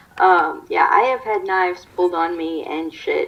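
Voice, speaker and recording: A woman with an American accent at a moderate pace, music in the background. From US, Maryland. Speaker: YouTuber. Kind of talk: casual chat.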